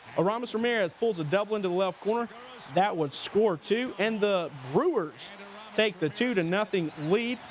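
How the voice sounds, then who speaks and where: A man's high-pitched voice comes through noticeable background noise. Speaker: local TV sports anchor. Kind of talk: TV sportscast delivery.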